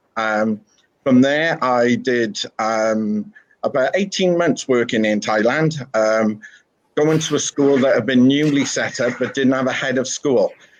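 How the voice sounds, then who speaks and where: Talking at a fairly slow pace, a man speaks with a slight Welsh accent. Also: medium pitch for a man, ordinary pitch variation. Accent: slight Welsh twang. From Wales. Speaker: school principal. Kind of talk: interview. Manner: hesitant, many fillers.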